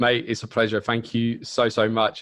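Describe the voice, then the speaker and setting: Over a quiet background, a man speaks with a slight British accent. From UK. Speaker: partner marketing manager. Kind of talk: interview. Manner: casual.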